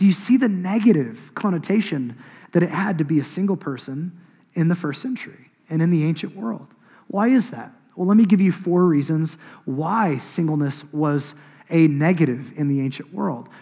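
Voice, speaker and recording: A high-pitched man with an American accent, a dark, mellow tone, lively intonation, and a moderate pace. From Oklahoma, US. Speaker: pastor. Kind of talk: sermon. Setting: church.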